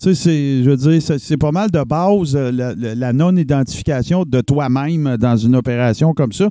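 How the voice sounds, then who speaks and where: An ordinary speaking voice at a fairly slow pace, with hardly any pauses. Pitch variation is ordinary. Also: man, fairly high pitch for a man. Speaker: columnist. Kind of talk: casual chat.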